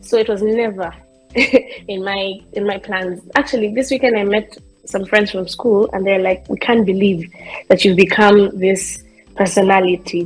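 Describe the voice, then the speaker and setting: A soft-spoken woman at a moderate pace, her intonation fairly even, with music in the background. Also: medium pitch for a woman. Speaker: content creator and comedian. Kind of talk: interview.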